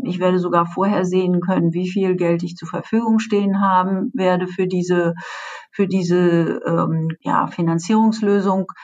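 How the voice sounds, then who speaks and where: Noticeable background noise sits behind a woman's voice. She speaks at a medium pitch and moderate pace with monotone, flat intonation. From Germany. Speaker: payments executive. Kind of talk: interview. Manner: hesitant, many filler sounds.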